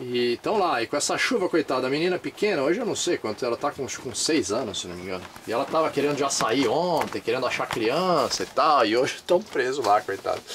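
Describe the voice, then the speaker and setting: Speaking at a fairly quick pace with hardly any pauses, the voice makes very wide pitch swings over light background noise. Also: man. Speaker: travel vlogger. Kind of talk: casual vlog chat. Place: home room. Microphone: phone near.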